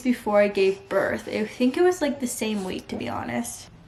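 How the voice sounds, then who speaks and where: With noticeable background noise behind her, a woman with an American accent talks at a moderate pace in a fairly high voice with lively intonation. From mixed upbringing: US, Vietnam, India, Mexico. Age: 20s. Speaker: vlogger. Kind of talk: casual chat.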